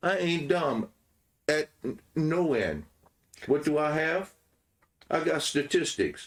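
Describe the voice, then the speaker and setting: A man's very slow speech with vocal fry, ordinary pitch variation and long, frequent pauses. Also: fairly high pitch for a man. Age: 70s. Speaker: podcast guest. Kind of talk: casual chat. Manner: animated.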